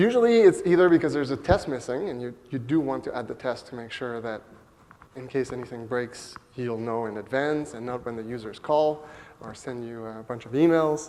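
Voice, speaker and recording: Here a man talks with a French Canadian accent. His loudness swings a lot. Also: medium pitch for a man, ordinary pitch variation. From Quebec, Montreal. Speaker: software developer, conference speaker. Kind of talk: conference talk. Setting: stage with audience. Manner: hesitant, many fillers.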